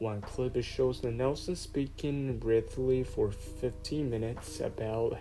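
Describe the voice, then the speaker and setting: Very slow speech over music in the background. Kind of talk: horror story narration.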